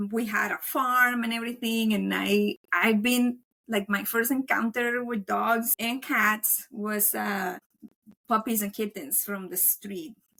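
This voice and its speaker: A woman speaking at a fairly slow pace with a Colombian accent. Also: ordinary pitch variation. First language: Spanish. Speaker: veterinary technician and dog trainer. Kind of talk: podcast interview. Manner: casual, filler-heavy.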